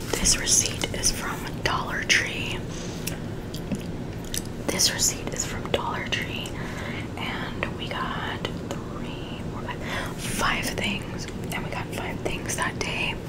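Soft-spoken whispering comes at a very slow pace, broken by long, frequent pauses over loud background noise. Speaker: receipt review vlogger. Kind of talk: casual vlog chat. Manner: soft ASMR whisper reading receipts. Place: home room.

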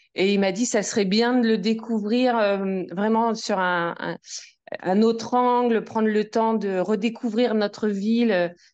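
The speaker moves at a fairly slow pace with ordinary pitch variation. The background is quiet. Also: woman. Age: 40s. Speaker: amateur nordic walker. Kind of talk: casual interview. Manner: hesitant.

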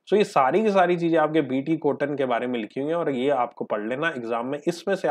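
A man talks in an ordinary speaking voice at a fairly high pitch, with lively intonation and a moderate pace. The background is quiet. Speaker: teacher. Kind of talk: lecture. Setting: live online class.

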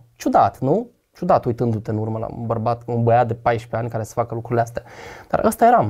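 A man's dark, mellow, somewhat breathy voice at a very fast pace with fairly even intonation, over a quiet background. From Romania, Botoșani; Romania. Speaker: guest sharing faith testimony; guest. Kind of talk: testimony in casual conversation. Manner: talkative. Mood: reflective, confessional. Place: studio. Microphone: lapel.

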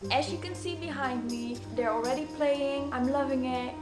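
Delivery comes at a moderate speed. Behind it, clear music can be heard. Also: woman. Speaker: snooker fan, amateur video maker. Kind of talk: casual talk to camera. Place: home room. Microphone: webcam.

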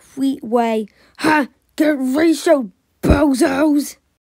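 This put-on character voice sounds female, pitched high and delivered at a very slow pace. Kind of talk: comic overacting. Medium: fan dub. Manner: smug, mocking.

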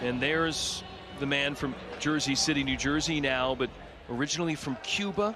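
There is noticeable background noise behind a man whose fairly high pitch shows ordinary variation, his loudness very even. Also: moderate pace. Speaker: sports commentator. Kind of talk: live sports commentary, wrestling play-by-play. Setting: broadcast of a live event.

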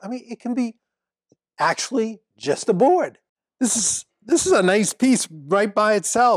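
Against a quiet background, a man is heard in a dry sound with no echo. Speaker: woodworking instructor, show host. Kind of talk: tutorial. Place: workshop. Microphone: lapel.

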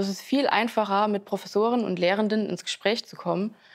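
A woman talks at a moderate pace with fairly even intonation, and the background is quiet. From Saarland, near St. Wendel; Saarland. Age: 20s. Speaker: university student. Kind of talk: student testimonial interview. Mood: calm, friendly. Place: hall. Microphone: lapel.

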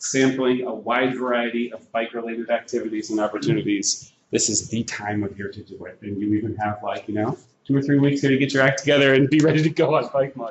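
A man talks at a fairly quick pace with fairly even intonation. The recording carries audible room echo and light background noise. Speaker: presenter. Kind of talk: informal presentation to an audience. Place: classroom.

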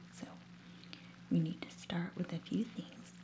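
A soft-spoken woman talks quietly. Noticeable background noise runs underneath her voice. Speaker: ASMR creator. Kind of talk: ASMR soft-spoken cooking demonstration. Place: kitchen.

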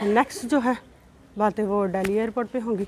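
Over light background noise, a woman speaks at a moderate pace with ordinary pitch variation. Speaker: travel vlogger. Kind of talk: casual vlog chat. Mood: annoyed, complaining. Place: station. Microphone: phone near.

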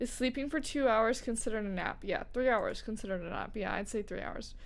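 A woman speaking at a fairly quick pace. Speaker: streamer. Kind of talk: casual chat. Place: home room. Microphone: studio mic.

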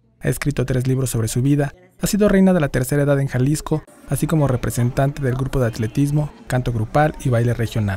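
A man talking at a very fast pace, fairly high in pitch, with ordinary pitch variation. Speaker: news narrator. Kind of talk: TV news narration.

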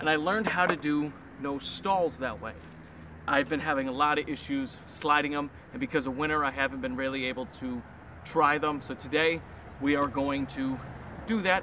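There is noticeable background noise, though the sound itself is dry with no echo. A man speaks fairly quickly at a fairly high pitch. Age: 20s. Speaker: amateur skateboarder vlogger. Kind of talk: casual vlog. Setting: outdoors at skate spot. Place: street. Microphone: camera far.

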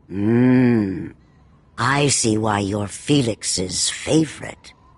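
Putting on a character voice, a man speaks at a very slow pace with a fairly low pitch, a slightly husky edge and ordinary pitch variation.

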